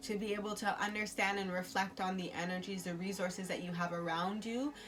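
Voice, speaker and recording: At a fairly quick pace, a woman speaks at medium pitch with fairly even intonation, with audible room echo and noticeable background noise. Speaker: tarot and oracle card reader. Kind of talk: intuitive oracle reading. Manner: halting with many fillers.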